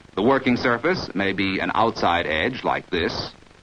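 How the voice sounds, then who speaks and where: A man with a fairly low pitch speaks at a fairly slow pace over noticeable background noise. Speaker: film narrator. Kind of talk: vintage training film narration. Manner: formal, measured, authoritative; even-paced, didactic, instructional.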